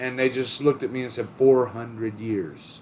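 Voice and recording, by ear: A man speaks in a booming, put-on character voice at medium pitch and a moderate pace. Clear background noise runs beneath him.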